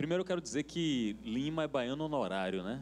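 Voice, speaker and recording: A man with a Bahian accent speaks in a lively intonation. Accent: Bahian accent, keeps it. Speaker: TV industry panelist. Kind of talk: panel discussion.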